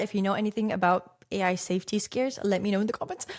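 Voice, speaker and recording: A woman's fairly high, animated voice with a slight Russian accent. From Russia, Saint Petersburg. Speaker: success coach and content creator. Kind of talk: podcast monologue.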